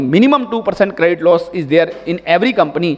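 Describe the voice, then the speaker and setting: An Indian accent with lively intonation at a fairly quick pace, over noticeable background noise. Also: man. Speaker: tax expert, conference speaker. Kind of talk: conference presentation. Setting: stage with audience. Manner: fast.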